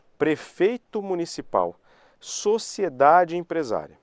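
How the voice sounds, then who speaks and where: The recording is dry and close with no echo. A man talks in it. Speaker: law professor. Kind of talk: live online lecture. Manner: repetitive, conversational.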